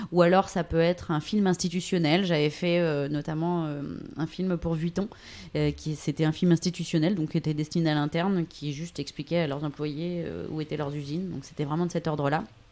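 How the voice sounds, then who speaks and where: Over a silent background in a very clean recording, a woman talks fairly quickly in a very deep, low voice with monotone, flat intonation. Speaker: voice-over artist and radio/TV journalist. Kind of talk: interview answer. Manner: casual, conversational.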